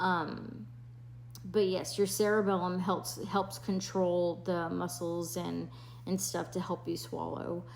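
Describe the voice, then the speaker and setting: A woman mumbles at a very slow pace, with audible room echo around her voice. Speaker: nurse sharing health experience. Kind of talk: personal health vlog. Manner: mumbling, slurred speech; hesitant, many fillers.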